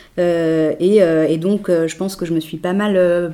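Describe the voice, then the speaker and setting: Here is a woman with fairly low pitch and an unremarkable speaking voice. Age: 30s. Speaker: TV journalist, pregnant woman. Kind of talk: casual interview.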